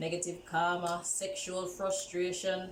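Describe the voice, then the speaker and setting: Noticeable background noise and audible room echo surround a woman speaking at a very slow pace. Her medium-pitched voice is monotone and flat. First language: not English. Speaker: tarot reader. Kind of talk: tarot reading. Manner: casual.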